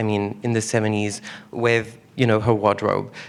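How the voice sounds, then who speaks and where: With a French accent, a man is talking. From France. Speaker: exhibition curator. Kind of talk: onstage conversation.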